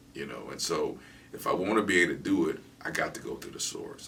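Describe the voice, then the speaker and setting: A man is heard with audible room echo. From Michigan, Ann Arbor. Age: 50s. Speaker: guest on faith talk show. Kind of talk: casual interview. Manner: repetitive stammering.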